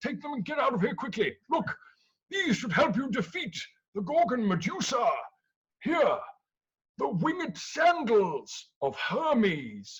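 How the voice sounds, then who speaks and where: A put-on character voice swings very widely in pitch. The pace is moderate. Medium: stage play. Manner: repeats himself.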